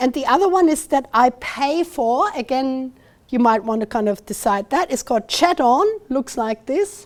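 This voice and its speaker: A woman with a German accent talks at a moderate pace. Her pitch is high and her intonation is lively. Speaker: university lecturer. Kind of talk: lecture. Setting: talk with live and online audience. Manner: halting.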